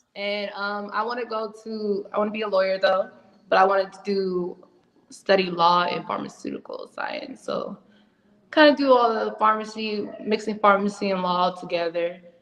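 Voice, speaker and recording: A woman with an American accent, a normal speaking voice, medium pitch, ordinary pitch variation and a moderate pace. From Ohio, Cleveland. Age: 20s. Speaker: reality TV contestant, rapper, college student. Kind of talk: casual interview.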